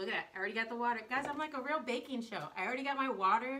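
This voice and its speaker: Very fast speech comes from a woman with a high pitch and an American accent. Her pitch varies in an ordinary way, with audible room echo. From US South. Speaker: baker and cake artist. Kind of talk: live baking stream. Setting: home kitchen, live on social media. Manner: casual, chatty.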